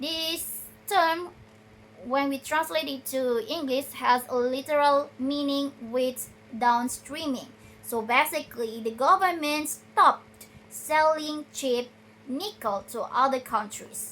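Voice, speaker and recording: Speaking very slowly in an Indonesian accent, the voice shows ordinary pitch variation. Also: woman, high pitch for a woman. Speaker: video blogger. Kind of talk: research summary talk. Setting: recorded at night on a tripod. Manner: halting, with many self-corrections.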